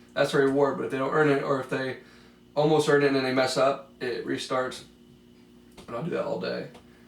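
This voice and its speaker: A man with a fairly high pitch and fairly even intonation, fairly quick pace broken by long, frequent pauses, and audible room echo. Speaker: special education aide. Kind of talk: mock counseling interview.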